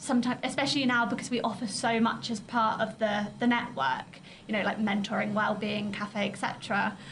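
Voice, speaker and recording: A woman talks at a fairly high pitch with hardly any pauses. Noticeable background noise runs underneath. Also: ordinary pitch variation, moderate pace. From Essex, England. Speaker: in-house lawyer, network vice-president. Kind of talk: interview.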